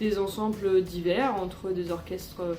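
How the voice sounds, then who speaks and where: Music plays in the background and audible room echo surrounds the very slow pace of speech. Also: woman. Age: 30s. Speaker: orchestra conductor. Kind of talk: personal testimony interview. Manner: hesitant, many fillers.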